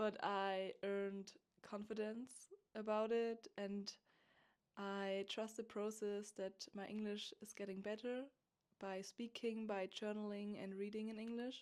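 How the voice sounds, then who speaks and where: A woman with a German accent speaks at a fairly slow pace in a fairly high voice with monotone, flat intonation. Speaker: podcast host. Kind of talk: spiritual monologue. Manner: halting.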